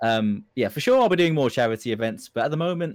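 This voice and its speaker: A man speaks with very wide swings in pitch. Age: 20s. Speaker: Twitch streamer. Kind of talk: casual interview. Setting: live stream.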